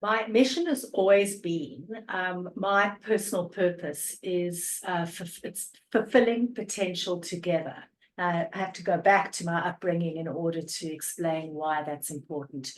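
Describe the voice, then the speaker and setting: A woman speaks at a fairly slow pace with a strong South African accent and a fairly low pitch. Her loudness swings widely while her pitch varies in an ordinary way. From South Africa, Cape Town. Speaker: energy coach. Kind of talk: podcast interview.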